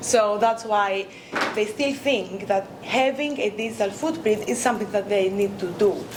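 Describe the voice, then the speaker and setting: With a Greek accent, a woman speaks at a moderate pace in a fairly high pitch with ordinary pitch variation, amid audible room echo and noticeable background noise. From Greece. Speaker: academic researcher. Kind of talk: conference talk. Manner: hesitant, many fillers.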